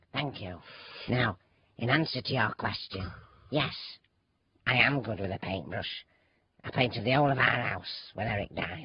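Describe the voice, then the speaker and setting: Using a put-on character voice, a man speaks at medium pitch and a moderate pace. His pitch varies in an ordinary way, and he leaves long, frequent pauses. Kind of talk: man playing a woman, radio comedy. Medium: audio drama. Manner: flustered, apologetic, chatty.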